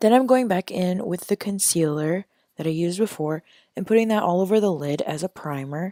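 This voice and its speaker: A woman with a dark, mellow tone speaks at a medium pitch and fairly quick pace, with ordinary pitch variation. The sound is dry and close with no echo, on a very clean recording with a silent background. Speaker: beauty YouTuber. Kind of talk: tutorial.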